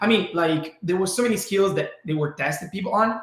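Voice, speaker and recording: Someone with an Italian accent speaks with ordinary pitch variation amid audible room echo. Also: man. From Italy. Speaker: brain training entrepreneur. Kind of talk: webinar presentation.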